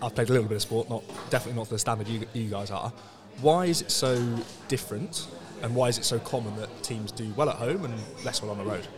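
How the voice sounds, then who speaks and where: A man with a medium pitch and ordinary pitch variation talks at a very fast pace yet with long, frequent pauses, over noticeable background noise. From England. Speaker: sports podcast host. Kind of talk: casual interview. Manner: halting, many repetitions.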